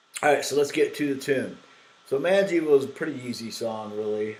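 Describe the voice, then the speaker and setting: A man does the talking. Noticeable background noise sits behind him. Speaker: guitar teacher and songwriter. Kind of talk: tutorial. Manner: halting, many fillers.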